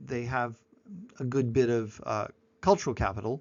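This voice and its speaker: The speaker is a man with an American accent. His pitch is medium and his pace moderate. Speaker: university lecturer. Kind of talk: lecture. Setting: recorded online presentation.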